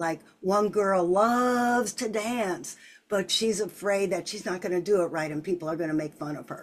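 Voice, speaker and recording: The tone is animated, with ordinary pitch variation. The pace is moderate. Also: woman, medium pitch for a woman. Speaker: children's author and coach. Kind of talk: interview.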